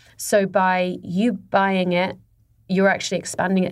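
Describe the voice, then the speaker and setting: A woman speaks at a medium pitch with a British accent. The recording is very clean, with a silent background. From Dubai, UAE (English family). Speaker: fashion boutique founder. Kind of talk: interview.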